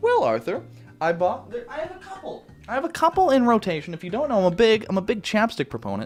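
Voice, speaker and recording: A man speaks at a very fast pace with big swings in loudness. Music plays in the background. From Canada. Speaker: YouTuber. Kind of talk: casual Q&A chat. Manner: casual, filler-heavy.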